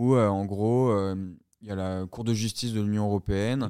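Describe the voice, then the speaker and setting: Speaking at a moderate pace, a man has a fairly low pitch, a dark, mellow tone and fairly even intonation. The recording is very clean and silent in the background, with a dry, close sound and no echo. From southern France. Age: 20s. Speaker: entrepreneur. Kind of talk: interview. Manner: halting, with many fillers and repetitions.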